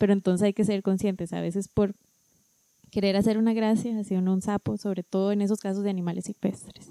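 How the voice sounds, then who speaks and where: A woman's medium-pitched, dark, mellow voice at a fairly quick pace, in a monotone, flat delivery with a dry, close sound and no echo. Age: 30s. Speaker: veterinarian. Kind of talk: casual chat.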